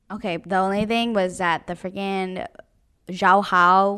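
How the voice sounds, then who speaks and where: In a very clean recording with a silent background, a woman with a plain, everyday voice speaks at medium pitch and a fairly slow pace, her intonation fairly even. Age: 20s. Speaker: podcast co-host. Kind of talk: casual chat.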